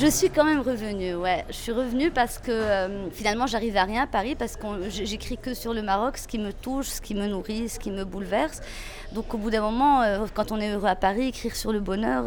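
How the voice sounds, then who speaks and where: Talking at a fairly quick pace in a fairly high pitch, a woman is heard over noticeable background noise. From Morocco, Meknes. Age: 30s. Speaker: former journalist. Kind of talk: interview testimony.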